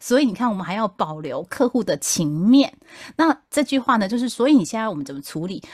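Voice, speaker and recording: Somewhat breathy and fairly high, a woman's voice races at a fairly quick pace with very wide pitch swings and big swings in loudness, dry and close with no echo on a very clean recording with a silent background. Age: middle-aged. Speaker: podcast host, customer service veteran. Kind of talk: casual chat.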